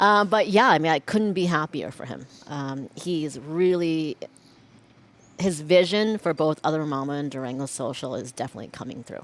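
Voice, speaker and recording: At a moderate pace, a woman with a very deep, low pitch speaks with lively intonation and big swings in loudness. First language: not English. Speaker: chef running pop-ups. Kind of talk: casual interview.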